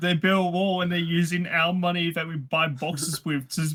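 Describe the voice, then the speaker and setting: This man talks at a moderate pace with an Australian accent. His voice sits high, with ordinary pitch variation. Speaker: card game player. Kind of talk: casual chat.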